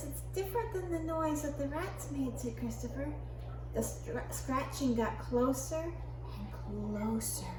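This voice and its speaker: A woman's warm, gentle tone at a fairly slow pace, over noticeable background noise. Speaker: grandmother reading bedtime stories to children. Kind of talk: children's bedtime story reading. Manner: warm, gentle, storytelling.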